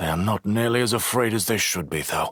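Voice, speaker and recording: A man in a put-on character voice, raspy and medium-pitched, at a fairly quick pace with very even loudness. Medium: read story. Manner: protective, steady.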